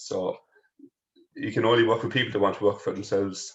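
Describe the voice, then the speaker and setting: Delivered at a very fast pace, a man's speech carries a strong Kerry accent. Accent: heavy Irish (Kerry). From Ireland, further up the country. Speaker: powerlifter, strongman and personal trainer. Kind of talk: casual interview chat.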